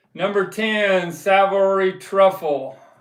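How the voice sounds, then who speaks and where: In a room with audible echo, a man with a high-pitched voice talks in a relaxed tone with fairly even intonation. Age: 70s. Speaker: live stream host, record collector. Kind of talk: casual live stream chat. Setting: live stream. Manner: relaxed, hesitant with fillers.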